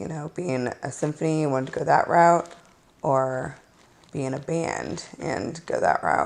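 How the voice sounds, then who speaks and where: A woman's very deep, low voice with vocal fry, ordinary pitch variation and a moderate pace. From St. Louis, Missouri. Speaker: singer and band leader. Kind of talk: interview. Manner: casual, hesitant with fillers.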